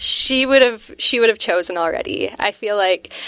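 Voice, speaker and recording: This woman has an unremarkable speaking voice with a Canadian accent, speaking at a moderate pace in a fairly high pitch with lively intonation. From Northwestern Ontario, Canada (Vermilion Bay). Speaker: pizza restaurant co-owner. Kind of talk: casual interview chat.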